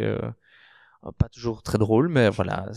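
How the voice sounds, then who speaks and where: His tone is dark and mellow as a man speaks at a medium pitch. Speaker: queer podcast guest. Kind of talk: podcast conversation. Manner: loud, expressive.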